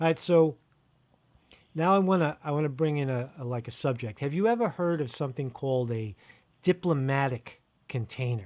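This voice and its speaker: Against a quiet background, a man speaks at a fairly high pitch. His intonation is lively and his pace fairly quick. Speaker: video host. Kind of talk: casual interview over phone. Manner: rambling, repetitive, informal. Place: home room. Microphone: studio mic.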